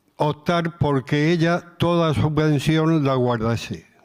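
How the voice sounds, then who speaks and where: This man's voice sits fairly high in pitch, with fairly even intonation. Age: 70s. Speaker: retiree, senior volunteer coordinator. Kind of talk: panel discussion. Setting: stage with audience.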